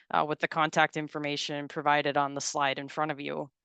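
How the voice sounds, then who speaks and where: With a North Dakota accent, a woman's bright, sharp voice comes through dry and close with no echo over a quiet background. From North Dakota, Galesburg. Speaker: farm safety extension educator and presenter. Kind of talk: webinar presentation. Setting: video call webinar. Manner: halting, many fillers and repetitions.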